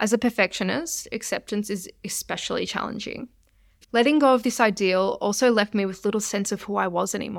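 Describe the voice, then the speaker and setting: A woman with an Australian accent, fairly high in pitch and fairly quick, on a very clean recording with a silent background. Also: ordinary pitch variation. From Australia, Melbourne. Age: 20s. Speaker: nutritionist sharing recovery story. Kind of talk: scripted personal narration.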